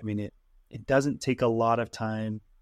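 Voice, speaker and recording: A man talks at a medium pitch and moderate pace against a quiet background. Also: dry, close sound with no echo. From Utah, US; Tongan immigrant parents. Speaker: tech worker, real estate investor, political candidate. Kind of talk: interview conversation.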